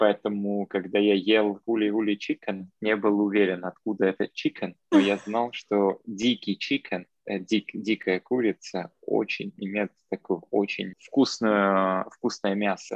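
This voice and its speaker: In a non-native accent, a man speaks very slowly at a fairly low pitch with hardly any pauses and monotone, flat intonation, in a dry, close sound with no echo. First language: not Russian (speaking Russian). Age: young. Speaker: podcast guest, traveler. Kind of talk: casual chat. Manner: mixes English words into Russian.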